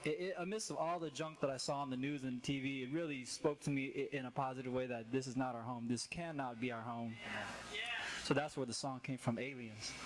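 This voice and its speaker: At a fairly quick pace, a man talks at medium pitch in a plain, everyday voice. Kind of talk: casual talk to open mic audience. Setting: live stage, open mic.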